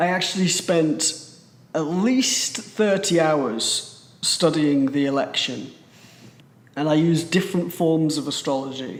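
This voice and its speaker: With a British accent, a man speaks fairly slowly at a fairly high pitch, his pitch varying in an ordinary way amid noticeable background noise. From Britain. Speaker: astrologer. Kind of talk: presentation.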